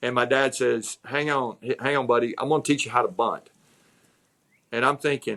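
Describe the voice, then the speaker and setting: A man with a Southern US accent, medium pitch, bright and sharp tone, fairly even intonation, moderate pace, and long, frequent pauses. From US South, North Georgia. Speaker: executive coach. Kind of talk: interview. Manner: repetitive, frequent restarts.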